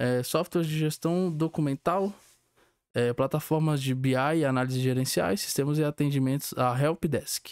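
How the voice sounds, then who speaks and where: In a very clean recording with a silent background and a dry, close sound with no echo, a man speaks at a fairly high pitch with ordinary pitch variation. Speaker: student. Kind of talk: student presentation, partly reading aloud. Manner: fast.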